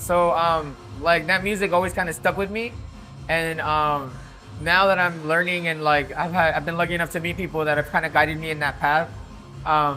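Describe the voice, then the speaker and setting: With music in the background, a high-pitched man with a Spanish accent talks at a fairly quick pace in fairly even intonation. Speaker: DJ and music producer. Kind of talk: casual interview chat. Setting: nightclub. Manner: casual, lots of filler words.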